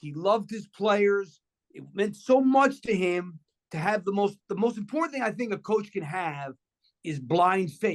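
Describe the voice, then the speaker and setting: With a New York accent, a man speaks at a fairly slow pace. His voice is high-pitched, and his intonation is lively. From New York City, Washington Heights. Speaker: former college basketball coach, TV basketball analyst. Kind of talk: casual chat.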